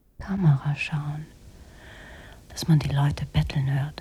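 Using a put-on character voice, a woman speaks slowly in a low pitch with a dark, mellow tone and a husky, rough edge. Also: fairly even intonation.

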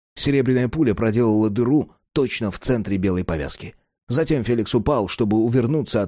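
Against a quiet background, an unforced reading voice carries ordinary pitch variation.

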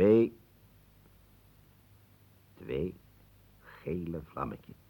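A man does a put-on character voice, extremely low with vocal fry and a slightly husky edge. He speaks at a very slow pace with big pitch swings.

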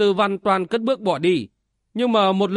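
Fairly even intonation in an unforced reading voice, with a quiet background

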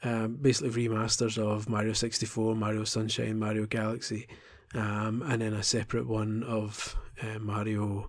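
This man talks at a moderate pace in a fairly low pitch, his intonation monotone and flat. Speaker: video game podcaster. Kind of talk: casual solo podcast monologue. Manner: halting, many ums.

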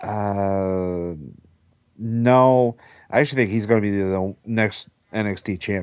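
Very slowly and with long, frequent pauses, a man speaks in a fairly low pitch with fairly even intonation. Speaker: wrestling podcast panelist. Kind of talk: casual roundtable discussion.

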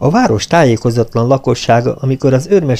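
The recording has someone reading aloud in a natural voice.

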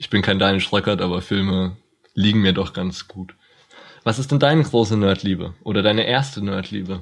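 The speaker has an ordinary speaking voice. Delivery comes at a moderate pace with ordinary pitch variation. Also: man, fairly low pitch for a man. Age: 20s. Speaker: podcast co-host, university student. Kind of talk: casual chat.

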